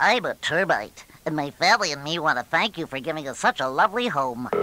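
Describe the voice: Putting on a character voice, a woman talks at a very fast pace with a very deep, low pitch and very wide pitch swings.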